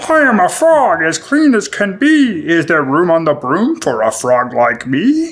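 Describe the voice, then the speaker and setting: Here is a croaky, put-on character voice at a middle pitch. It moves at a moderate pace. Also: hardly any pauses. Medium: read story.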